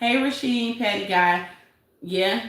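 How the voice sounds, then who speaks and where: Against noticeable background noise and audible room echo, a woman talks with a Detroit accent. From Detroit, US. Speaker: YouTube commentary livestreamer. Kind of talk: casual live-stream commentary.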